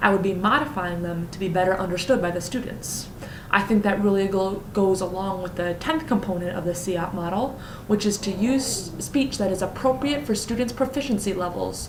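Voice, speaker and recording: Noticeable background noise and audible room echo fill the recording. A woman speaks with ordinary pitch variation. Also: medium pitch for a woman. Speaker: teacher. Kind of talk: lesson plan presentation; classroom teaching demonstration. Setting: recording at home. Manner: fast.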